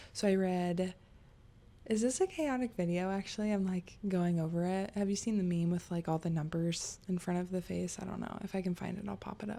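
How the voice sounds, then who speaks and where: Soft-spoken, fairly quick speech from a woman at medium pitch, dark and mellow in tone, with fairly even intonation. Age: 30s. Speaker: book youtuber. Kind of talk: casual chat. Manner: rambling, chatty.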